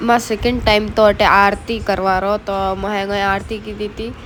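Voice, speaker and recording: Fairly high-pitched woman, monotone and flat in intonation, at a fairly slow pace over noticeable background noise. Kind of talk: casual vlog narration.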